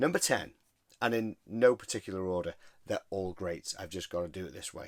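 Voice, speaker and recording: Speaking with a British accent, a man uses a fairly low pitch. The recording is very clean and silent behind him, with a dry, close sound and no echo. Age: 40s. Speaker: record collector video host. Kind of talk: casual chat. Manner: animated.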